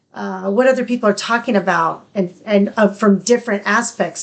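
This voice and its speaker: Speaking with vocal fry, a woman keeps a medium pitch and fairly even intonation. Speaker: podcast co-host. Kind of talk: casual chat. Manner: fragmented.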